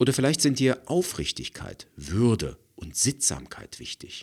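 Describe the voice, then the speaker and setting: On a very clean recording with a silent background, a man speaks with vocal fry. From East Germany. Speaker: podcast host, conflict coach and audiobook narrator. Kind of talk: solo podcast monologue, scripted.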